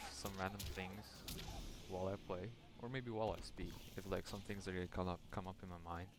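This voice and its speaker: A man speaks with a very deep, low voice and a non-native accent. Music plays in the background. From Europe. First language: not English. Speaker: solo podcaster / YouTuber. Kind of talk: casual solo ramble while gaming. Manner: halting, with pauses and stutters. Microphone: quiet microphone.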